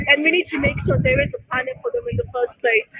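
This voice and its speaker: Music plays behind a woman who speaks very fast in a high pitch with very wide pitch swings. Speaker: protester. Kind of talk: short interview.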